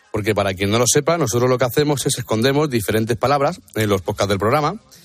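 A man at a medium pitch rattles along at a very fast pace with lively intonation. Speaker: weather presenter. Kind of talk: weather report.

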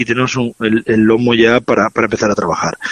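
A man at medium pitch, very fast pace, dry and close sound with no echo. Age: 40s. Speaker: chef. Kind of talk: interview and recipe explanation.

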